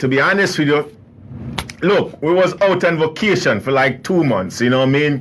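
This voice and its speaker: Against noticeable background noise, a man with an American accent sounds animated, his intonation lively. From US South, New Orleans, Louisiana. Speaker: radio host. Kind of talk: casual radio monologue. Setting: studio.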